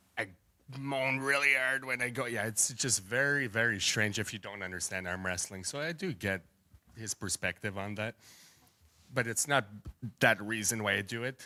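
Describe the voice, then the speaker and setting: A man talks at a moderate pace with a bright, sharp tone and ordinary pitch variation, leaving long, frequent pauses, on a very clean recording with a silent background. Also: medium pitch for a man. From Canada. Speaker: arm wrestler. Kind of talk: press conference trash talk. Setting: hotel press conference.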